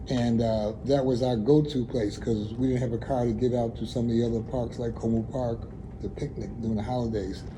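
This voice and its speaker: Audible room echo surrounds a man talking at a fairly quick pace in a monotone, flat intonation. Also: medium pitch for a man. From US Northeast (Buffalo, New York, East Side). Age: 70s. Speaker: community elder. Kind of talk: oral history interview. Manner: conversational, hesitant with fillers.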